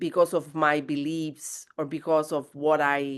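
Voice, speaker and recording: A woman speaks at a very slow pace with a very deep, low pitch. The background is quiet. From southern Italy. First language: Italian. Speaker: guest. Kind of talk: podcast interview. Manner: halting.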